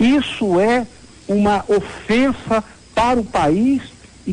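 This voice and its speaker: Over noticeable background noise, the voice shows ordinary pitch variation. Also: man. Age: 60s. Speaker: city councillor and surgeon. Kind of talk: interview.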